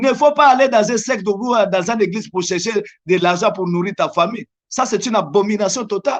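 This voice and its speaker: With a Congolese accent, a man talks fairly quickly at a high pitch against a quiet background. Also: ordinary pitch variation. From DR Congo. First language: Lingala (speaking French). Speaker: evangelist. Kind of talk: religious interview.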